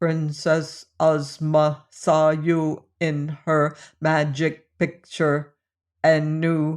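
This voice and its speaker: The speaker uses a put-on character voice at a middle pitch in a flat monotone. The background is quiet. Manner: monotonous, flat, all words on one level.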